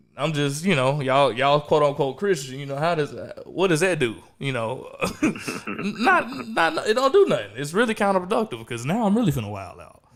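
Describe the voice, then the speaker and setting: Over noticeable background noise, a man with a fairly high voice and an American accent speaks fairly quickly, with big swings in loudness and very wide pitch swings. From US South, Memphis, Tennessee. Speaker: podcast host. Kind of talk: casual chat. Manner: animated.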